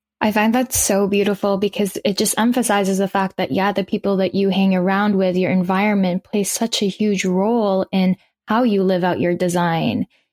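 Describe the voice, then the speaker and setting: A plain, everyday voice from a woman, medium in pitch, at a moderate pace with hardly any pauses and very even loudness, the sound dry and close with no echo. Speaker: podcast host. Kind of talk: casual interview.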